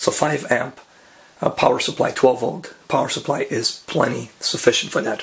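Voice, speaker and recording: Here a man speaks at a moderate pace. Noticeable background noise can be heard. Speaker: darkroom photographer. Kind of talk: casual how-to talk to camera.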